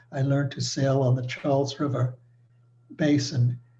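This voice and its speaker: This man speaks with an American accent in a dark, mellow tone. His voice is somewhat breathy, and his intonation is monotone and flat. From New York City. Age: 90s. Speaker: retired engineer. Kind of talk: presentation. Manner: formal.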